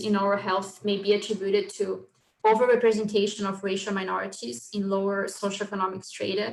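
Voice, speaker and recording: Here is a plain, everyday voice from a woman at a medium pitch. She talks at a fairly quick pace with fairly even intonation. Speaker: oral health researcher. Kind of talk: lecture. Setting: video call. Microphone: poor microphone.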